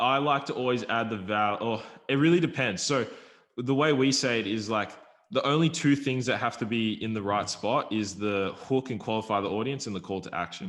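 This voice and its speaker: With an Australian accent, a man speaks at a medium pitch and a fairly quick pace, using ordinary pitch variation. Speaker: YouTube affiliate marketer. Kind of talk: casual podcast interview. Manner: fast.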